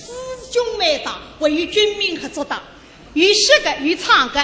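In a Shanghainese accent, a woman uses a raised, projected voice at an extremely high pitch with very wide pitch swings, speaking at a moderate pace against noticeable background noise. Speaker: radio host. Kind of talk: live show banter.

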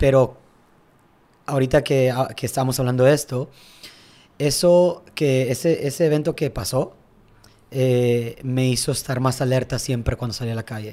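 With long, frequent pauses, a man speaks in a dark, mellow tone and fairly even intonation. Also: medium pitch for a man, moderate pace. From Tijuana, Mexico. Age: 20s. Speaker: tennis coach. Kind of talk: casual interview.

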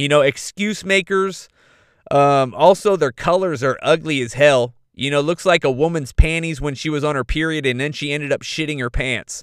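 Speaking with an American accent, a man with a fairly high pitch moves at a moderate pace, his tone animated and his intonation lively, in a dry, close sound with no echo. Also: very clean recording, silent background. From Northern California. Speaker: podcast host. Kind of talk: casual monologue.

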